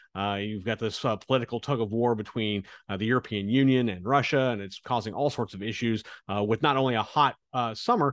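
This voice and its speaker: A man with an American accent has a plain, everyday voice at medium pitch with ordinary pitch variation. He moves at a fairly quick pace, and the sound is dry and close with no echo. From US Midwest, Kansas. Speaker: stock research analyst, podcast host. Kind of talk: investment podcast monologue. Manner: casual, with frequent fillers.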